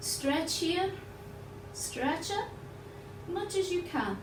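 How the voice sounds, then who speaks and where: With noticeable background noise and audible room echo, the voice moves at a fairly slow pace with lively intonation. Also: woman. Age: 60s. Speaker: yoga teacher. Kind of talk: guided yoga class.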